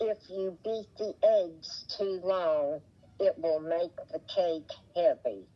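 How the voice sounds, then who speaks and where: With an Appalachian accent, a woman speaks at a very slow pace with a medium pitch. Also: ordinary pitch variation. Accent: Appalachian southern drawl. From West Virginia, Appalachia. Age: 80s+. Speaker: interviewee, retired mother. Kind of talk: oral history interview. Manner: halting.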